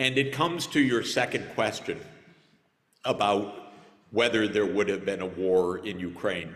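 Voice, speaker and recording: A man speaks at a fairly low pitch with ordinary pitch variation, leaving long, frequent pauses. The room echo is audible. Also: moderate pace. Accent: American. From United States. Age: 60s. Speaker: conference speaker, economist. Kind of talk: conference panel answer.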